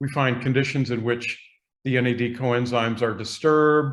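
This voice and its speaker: In an American accent, a man speaks at medium pitch with monotone, flat intonation. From US Northeast, Boston. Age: 60s. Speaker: biochemistry professor. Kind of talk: podcast interview.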